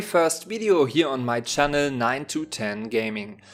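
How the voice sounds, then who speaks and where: A man with a German accent talks at a fairly slow pace, his fairly high voice making very wide pitch swings. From Germany. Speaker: gaming YouTuber. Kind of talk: let's play commentary.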